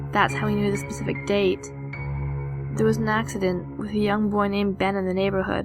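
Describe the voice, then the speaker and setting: Fairly quick speech with music in the background. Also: woman. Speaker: narrator. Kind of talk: horror story narration.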